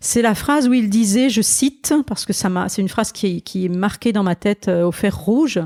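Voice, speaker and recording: A woman's dark, mellow tone at a moderate pace, the sound dry and close with no echo. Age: 60s. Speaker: pastor. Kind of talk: interview. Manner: halting.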